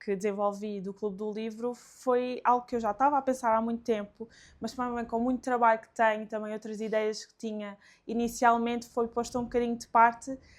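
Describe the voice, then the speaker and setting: A woman speaks in a fairly high pitch with monotone, flat intonation. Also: big swings in loudness. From Alentejo, Portugal. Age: 20s. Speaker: book content creator. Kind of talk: casual interview chat.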